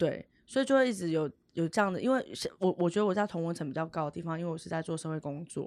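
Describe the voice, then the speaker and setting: Her intonation lively, a woman speaks at a very fast pace in a fairly low pitch. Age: 30s. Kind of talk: podcast interview.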